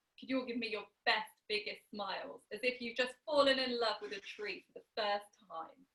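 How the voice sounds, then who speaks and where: Loudness swings widely in this unremarkable speaking voice, which keeps a moderate pace and ordinary pitch variation. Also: woman, fairly high pitch for a woman. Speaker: storyteller. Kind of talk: oral storytelling to an audience. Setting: online video call.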